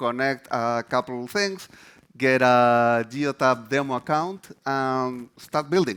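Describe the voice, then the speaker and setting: A man speaks with a Chilean accent at a medium pitch. His pitch varies in an ordinary way, and the recording is very clean with a silent background. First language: Spanish. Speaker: developer advocate. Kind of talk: conference presentation.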